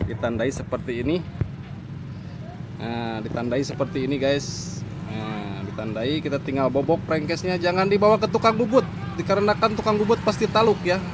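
Noticeable background noise sits under a man's voice, which has a dry sound with no echo. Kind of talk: tutorial. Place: workshop. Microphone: phone near.

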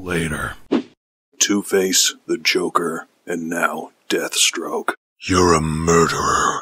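A gruff, raspy man speaks at a very slow pace. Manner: gruff, intense, shouting.

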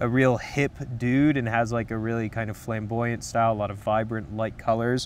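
Over light background noise, a man talks in a monotone, flat intonation, and the sound is dry with no echo. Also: moderate pace. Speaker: menswear commentator. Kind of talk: commentary. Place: garden. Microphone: lapel.

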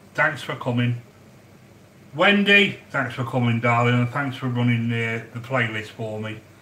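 A man talks at a moderate pace, his voice carrying audible room echo over light background noise. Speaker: home cook livestreamer. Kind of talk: casual live-stream chat. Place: kitchen. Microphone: phone near.

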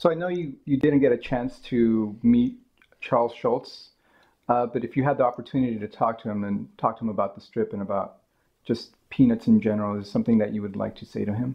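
A man talks at a fairly quick pace at a medium pitch. He has an unremarkable speaking voice with big swings in loudness. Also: ordinary pitch variation. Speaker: museum archivist. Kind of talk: oral history interview. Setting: at interviewee's home.

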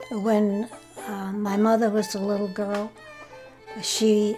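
Over music in the background, a woman with a rural New England accent talks very slowly in a fairly high pitch. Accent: rural New England American. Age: 80s+. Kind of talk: interview answer. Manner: halting, reminiscing.

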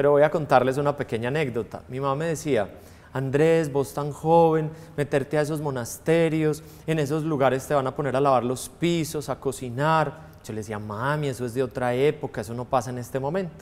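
A man at a fairly quick pace, fairly high in pitch. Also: ordinary pitch variation. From Colombia, Antioquia (Girardota); Antioquia, Colombia. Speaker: priest. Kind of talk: testimony interview. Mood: warm, reflective. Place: studio.

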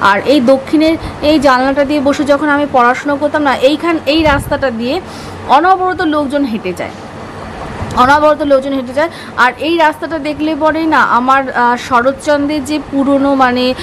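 Over light background noise, a woman talks in a high pitch with fairly even intonation. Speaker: home vlogger. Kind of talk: casual vlog chat. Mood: wistful, reflective. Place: home room.

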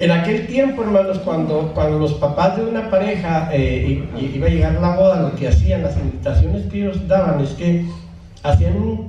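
A man speaks at a moderate pace. There is light background noise and audible room echo. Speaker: preacher. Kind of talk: sermon. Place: church.

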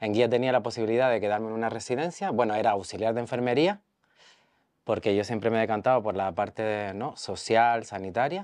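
A man with a plain, everyday voice, medium pitch, ordinary pitch variation and a fairly quick pace over a quiet background. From Canary Islands, Mogán (Gran Canaria); Canary Islands, Spain. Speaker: speech therapist, social services worker; interviewee. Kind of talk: testimony interview. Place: garden. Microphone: lapel.

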